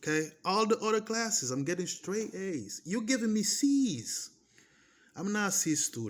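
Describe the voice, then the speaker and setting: Speaking in a Portuguese accent, a man with a high pitch talks fairly slowly in an animated tone with lively intonation. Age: 30s. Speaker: vlogger. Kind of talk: personal testimony. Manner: repetitive.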